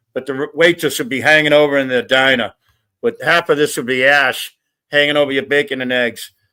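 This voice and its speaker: The man's voice is bright and sharp, fairly high, with ordinary pitch variation. He speaks at a fairly quick pace on a very clean recording with a silent background. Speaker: panel guest. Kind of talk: casual chat.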